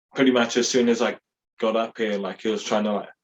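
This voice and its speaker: The speaker is a man. His voice has a medium pitch. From New Zealand, Hastings. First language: Māori. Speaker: podcast host. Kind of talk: casual chat. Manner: casual, rambling with fillers.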